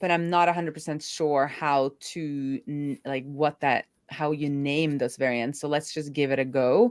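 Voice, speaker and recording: The speaker has an American accent, with ordinary pitch variation and a moderate pace. The recording is very clean, with a silent background. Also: woman. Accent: sounds American. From Norway. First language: Norwegian. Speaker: developer advocate. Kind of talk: live coding stream chat. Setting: live stream.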